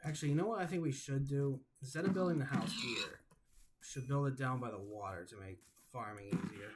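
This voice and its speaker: A man's very fast, somewhat breathy delivery, with big swings in loudness and very wide pitch swings. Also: fairly high pitch for a man. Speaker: gaming YouTuber. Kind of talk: gameplay commentary. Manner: stuttering.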